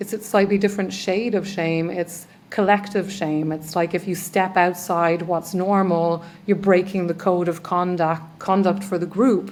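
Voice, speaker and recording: With an Irish accent, a woman talks fairly slowly at a medium pitch in a flat monotone. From Ireland. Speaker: trauma healer. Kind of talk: podcast interview. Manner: halting.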